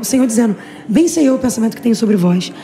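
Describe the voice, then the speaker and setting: A woman speaks very fast in a fairly high pitch with very wide pitch swings over noticeable background noise. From Brazil, Rio de Janeiro state (Xerém). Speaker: missionary preacher. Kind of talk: interview. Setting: women's conference. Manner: casual, halting.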